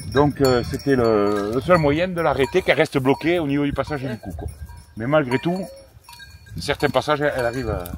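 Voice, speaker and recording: Noticeable background noise fills the space around a man. He talks fairly quickly, his intonation lively. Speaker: goat and sheep farmer. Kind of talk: casual chat.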